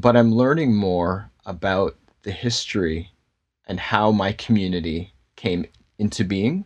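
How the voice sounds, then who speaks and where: A man speaks at a fairly slow pace in a fairly low pitch, with an unremarkable speaking voice. His pitch varies in an ordinary way against a quiet background. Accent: Canadian. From Canada, Toronto. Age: adult, father. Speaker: pastor and filmmaker. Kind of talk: casual interview.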